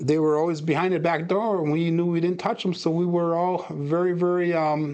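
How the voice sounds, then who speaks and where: An ordinary speaking voice from a man, fairly high in pitch and fairly quick in pace, against a quiet background. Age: 50s. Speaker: craps live streamer. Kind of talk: live stream commentary. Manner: casual.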